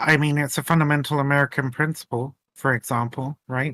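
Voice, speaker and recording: The sound is dry and close, with no echo, as a man talks at a fairly quick pace in a British accent. His intonation is monotone and flat. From Britain. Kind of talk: heated debate.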